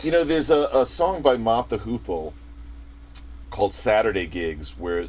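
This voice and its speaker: A man with a slight New York accent speaks at a moderate pace over noticeable background noise. His fairly low pitch swings very widely, and he takes long, frequent pauses. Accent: soft New York. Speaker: music theory guest. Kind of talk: casual chat.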